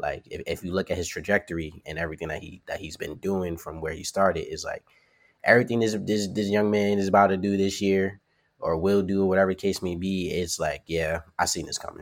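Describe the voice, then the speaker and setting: In a very clean recording with a silent background, a man with a New York accent talks at a fairly quick pace in a fairly low pitch. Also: fairly even intonation. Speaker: professional wrestler. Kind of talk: casual interview. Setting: podcast interview.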